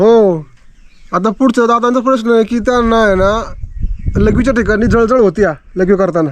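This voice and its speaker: The man's voice has a high pitch with ordinary pitch variation. His loudness stays very even. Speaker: YouTube interviewer. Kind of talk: interview questions.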